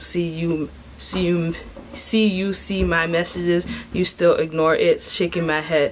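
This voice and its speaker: A woman with a fairly low pitch speaks at a fairly slow pace amid noticeable background noise. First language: not English. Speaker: vlogger. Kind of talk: casual vlog monologue. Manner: animated.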